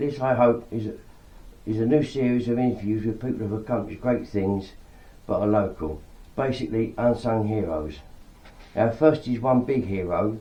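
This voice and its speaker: Somewhat breathy and dark, mellow in tone, a man speaks at medium pitch and a moderate pace with ordinary pitch variation and long, frequent pauses. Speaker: interviewer. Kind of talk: interview questions.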